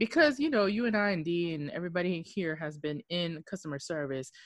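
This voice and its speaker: Lively in intonation, a woman with a fairly low pitch talks at a fairly quick pace in a normal speaking voice. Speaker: podcast co-host. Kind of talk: casual chat.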